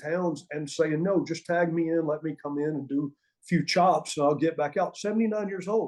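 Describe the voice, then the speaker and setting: With a Southern US accent, a man speaks at a moderate pace in a high pitch with a dark, mellow tone. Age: 60s. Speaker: former pro wrestling referee and wrestling trainer. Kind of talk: interview storytelling.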